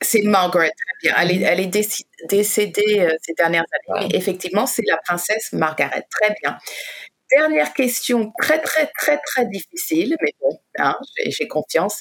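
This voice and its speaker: Very wide pitch swings mark speech delivered at a fairly slow pace. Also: woman, medium pitch for a woman. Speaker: radio host. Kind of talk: casual chat.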